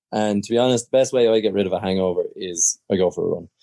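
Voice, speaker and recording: A man's medium-pitched voice in an Irish accent, dark and mellow in tone, with ordinary pitch variation, a dry, close sound with no echo, and a fairly quick pace. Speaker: podcast co-host. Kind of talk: casual chat. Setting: video call.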